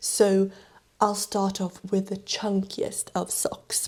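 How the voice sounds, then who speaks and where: The voice has a non-native accent. Its tone is dark, mellow and somewhat breathy. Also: woman. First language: not English. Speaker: knitting YouTuber. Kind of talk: casual vlog talk about gift knitting patterns.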